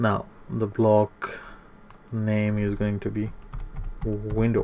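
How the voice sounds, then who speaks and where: This man's pitch is fairly low. He speaks with monotone, flat intonation. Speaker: CAD tutorial instructor. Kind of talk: tutorial. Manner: soft-spoken.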